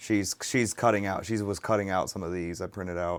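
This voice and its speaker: This man talks at a moderate pace in a very deep, low voice with fairly even intonation. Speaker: streamer. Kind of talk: casual livestream chat. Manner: hesitant, many fillers.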